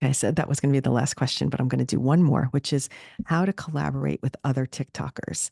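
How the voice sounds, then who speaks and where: A woman speaks very fast in a very deep, low pitch with a dark, mellow tone and vocal fry. Her loudness stays very even, her pitch variation is ordinary, and the sound is dry and close with no echo. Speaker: social media marketing podcast host. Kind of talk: solo podcast tutorial. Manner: casual, conversational.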